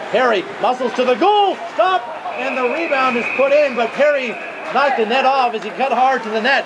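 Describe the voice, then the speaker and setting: Against loud background noise, a man with an extremely high pitch sounds animated, his pitch varying in an ordinary way. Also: moderate pace. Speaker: hockey play-by-play announcer. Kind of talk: live commentary. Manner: animated, rising excitement on goals.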